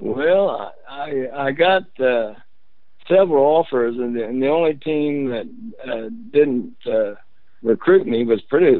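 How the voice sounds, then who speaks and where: An American accent marks this man's speech. He talks at a very slow pace with a fairly high pitch. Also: lively intonation. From Indiana, Muncie. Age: 70s. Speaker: former basketball player. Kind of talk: interview. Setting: phone call.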